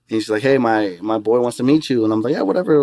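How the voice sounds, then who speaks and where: A man with an American accent, very fast delivery and fairly even intonation, on a very clean recording with a silent background. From Arizona. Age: 30s. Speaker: club promoter and MC. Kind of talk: casual chat.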